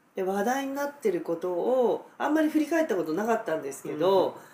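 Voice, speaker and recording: A woman talks at a fairly quick pace with very wide pitch swings. Noticeable background noise runs underneath. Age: 50s. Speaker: dentist. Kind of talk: casual chat.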